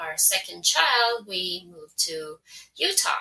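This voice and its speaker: Speaking very slowly with a Swedish accent, a woman keeps a medium pitch and fairly even intonation. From Finland, Swedish-speaking. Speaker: translator and podcaster. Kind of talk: casual interview.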